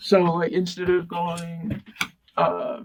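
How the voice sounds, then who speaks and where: In an American accent, a man talks with a high-pitched voice. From California. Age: young. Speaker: community college student. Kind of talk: oral history interview. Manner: halting.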